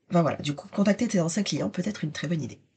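A somewhat breathy woman's voice, dark and mellow, with lively intonation against a quiet background. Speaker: business mentor podcast host. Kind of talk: solo podcast monologue.

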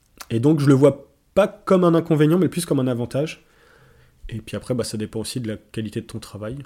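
At a fairly quick pace, a man with a fairly high pitch and a dark, mellow tone speaks with lively intonation and big swings in loudness. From France, Lorraine (Nancy). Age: 30s. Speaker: forestry technician. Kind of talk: casual interview.

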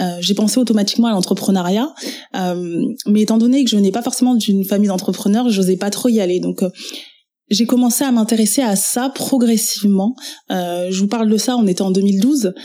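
At a moderate pace, a woman talks in a medium pitch with a dark, mellow tone and ordinary pitch variation. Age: 30s. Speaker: web entrepreneur and trainer. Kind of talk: personal testimony interview.

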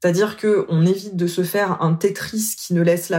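A woman holds fairly even intonation at a medium pitch, talking at a moderate pace. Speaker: coach. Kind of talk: interview. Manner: smiling voice.

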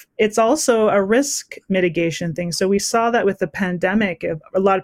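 This woman has a normal speaking voice at medium pitch with ordinary pitch variation and a moderate pace. The recording is very clean with a silent background and a dry, close sound with no echo. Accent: Canadian. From western Canada. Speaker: entrepreneur. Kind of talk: interview.

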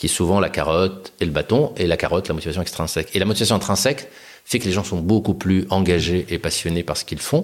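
A man's very deep, low pitch moves with ordinary variation as he talks at a very fast pace. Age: 40s. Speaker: company founder and CEO. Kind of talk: interview conversation. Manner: hesitant, with fillers and repetitions.

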